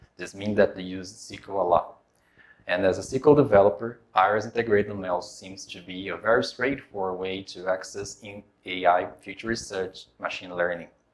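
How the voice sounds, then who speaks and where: A man with a Portuguese accent, a fairly low pitch and a moderate pace. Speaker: software developer. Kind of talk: tech demo presentation.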